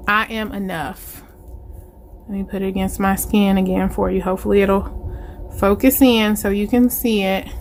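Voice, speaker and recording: A woman speaks at a moderate pace with long, frequent pauses. Noticeable background noise runs underneath. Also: medium pitch for a woman. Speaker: planner channel vlogger. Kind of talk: unboxing video. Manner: animated.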